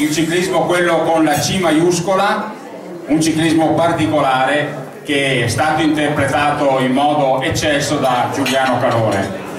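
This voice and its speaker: Over noticeable background noise and audible room echo, a man speaks at a fairly high pitch with ordinary pitch variation. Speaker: event presenter. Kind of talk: event presentation. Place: hall. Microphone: pa.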